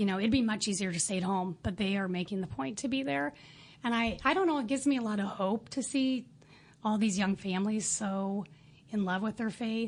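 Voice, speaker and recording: At a fairly quick pace, a woman with a somewhat breathy medium-pitched voice speaks with ordinary pitch variation against a quiet background. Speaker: parent volunteer. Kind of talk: interview. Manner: fast.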